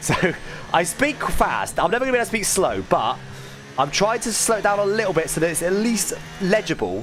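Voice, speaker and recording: Speaking at a fairly quick pace, a man uses a high pitch with ordinary pitch variation. Music plays in the background. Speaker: sim racing gamer streamer. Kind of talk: live gameplay commentary. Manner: fast.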